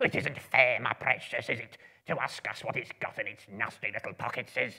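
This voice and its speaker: In a put-on character voice, the speaker delivers whiny, hissing lines at a low-to-middle pitch and a fairly quick pace. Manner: hissing, whining.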